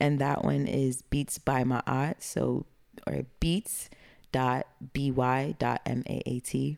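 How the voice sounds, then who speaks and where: Speaking with a Brooklyn accent, a woman goes at a very slow pace with very even loudness. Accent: New York (Brooklyn). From East Flatbush, Brooklyn, New York. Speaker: music producer and rapper. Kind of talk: casual interview chat. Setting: studio.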